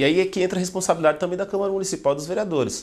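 A man talking at a very fast pace. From Brazil, Guarulhos (São Paulo); São Paulo, Brazil. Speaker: journalist and political candidate; journalist, candidate. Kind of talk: interview. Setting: studio. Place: studio. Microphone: lapel.

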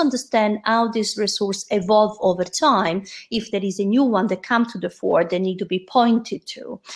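A woman speaks in a somewhat breathy voice. The background is quiet. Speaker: presenter. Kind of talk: presentation talk. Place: home room. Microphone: webcam.

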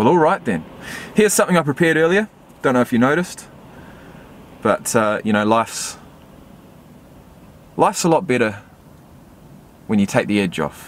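A man at a fairly quick pace with very wide pitch swings, the sound dry with no echo. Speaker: vlogger. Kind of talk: casual vlog chat. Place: car.

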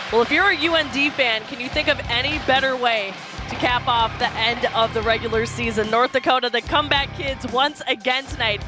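With clear music in the background, a woman talks at a fairly quick pace and a high pitch in a dry sound with no echo. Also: ordinary pitch variation. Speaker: sports reporter and host. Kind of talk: reporter stand-ups, live hits and interview questions.

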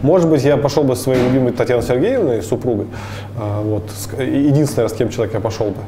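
Fairly quick speech with ordinary pitch variation over light background noise. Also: man. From Bashkortostan, Russia (Ufa area); Bashkortostan, Russia. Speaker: traveler and entrepreneur; guest. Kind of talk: interview. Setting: coffee shop. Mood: calm, reflective. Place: cafe. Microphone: lapel.

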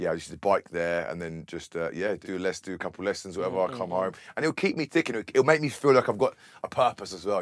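Over a quiet background, a man talks at a very fast pace, his pitch swinging very widely and his loudness shifting in big swings. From Bedford, England. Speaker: DJ and music producer. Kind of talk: casual interview. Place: studio.

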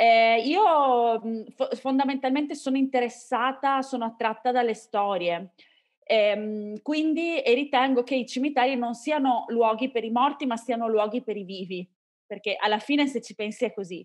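The voice has ordinary pitch variation over a quiet background. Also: woman, high pitch for a woman, moderate pace. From Venice, Italy; Italy. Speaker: podcaster. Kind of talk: interview. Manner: calm. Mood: calm, enthusiastic. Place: home room. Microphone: video call.

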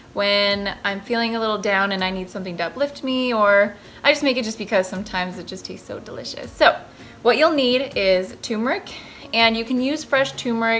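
A woman talks at a fairly quick pace with big swings in loudness while faint music plays in the background. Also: ordinary pitch variation. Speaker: recipe vlogger. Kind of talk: casual vlog chat. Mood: cheerful, enthusiastic. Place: kitchen. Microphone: phone near.

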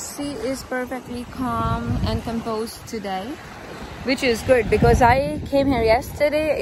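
A woman at a fairly slow pace, ordinary pitch variation, and noticeable background noise. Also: dry sound with no echo. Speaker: travel vlogger. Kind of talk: casual vlog chat. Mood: relieved, cheerful. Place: beach. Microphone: phone near.

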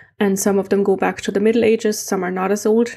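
Against a quiet background, a woman with a German accent speaks at a medium pitch with a dark, mellow tone. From East Germany. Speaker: amateur heritage mapper and video creator; conference presenter. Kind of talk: conference presentation. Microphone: webcam.

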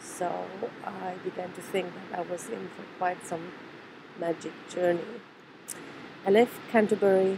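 A woman's fairly low voice, fairly even in intonation and fairly slow, with noticeable background noise. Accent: German. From Germany. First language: German. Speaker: trauma therapist. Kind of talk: personal video message.

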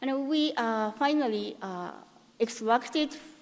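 A woman's fairly high voice with a Japanese accent and ordinary pitch variation. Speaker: cancer researcher. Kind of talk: conference talk; conference lecture. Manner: halting. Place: hall.

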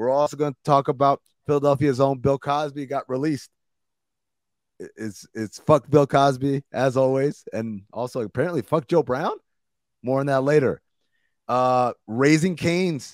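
A man at a moderate pace with fairly even intonation and long, frequent pauses, dry sound with no echo, quiet background. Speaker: podcast host. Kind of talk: podcast intro, casual commentary. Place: home room. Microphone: studio mic.

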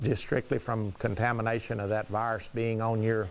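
Moderate pace from a man. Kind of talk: interview answer. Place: studio.

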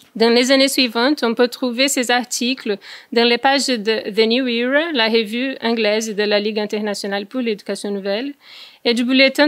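A woman speaks with a Brazilian accent at a high pitch and a moderate pace. Her intonation stays fairly even over a quiet background. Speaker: researcher. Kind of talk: conference presentation. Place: meeting room. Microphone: podium.

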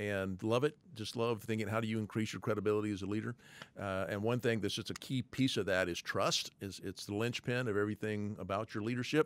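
At a fairly quick pace, a man speaks with a fairly low pitch and fairly even intonation. The sound is dry, with no echo. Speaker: leadership trainer; podcast host. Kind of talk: teaching. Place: studio. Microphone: studio mic.

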